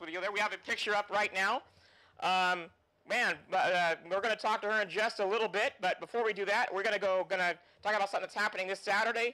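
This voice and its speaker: Raised and projected, a man's bright, sharp, high-pitched voice races at a very fast pace with fairly even intonation. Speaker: motorsports show host. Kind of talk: show hosting and interview.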